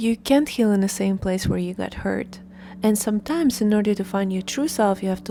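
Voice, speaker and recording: A woman with a Russian accent speaks at a fairly quick pace. Her voice is somewhat breathy, with a dark, mellow tone. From Russia, Moscow. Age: 30s. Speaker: lifestyle vlogger. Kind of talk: personal vlog monologue.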